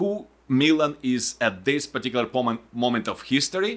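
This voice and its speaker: A man with a non-native accent speaks with lively intonation. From Ukraine. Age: 40s. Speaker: podcast host. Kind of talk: podcast interview. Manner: halting.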